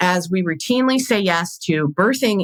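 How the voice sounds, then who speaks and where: A woman's fairly low voice carries lively intonation. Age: 50s. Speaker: podcast host, birth educator and doula. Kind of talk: casual monologue. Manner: fast; stumbles over words.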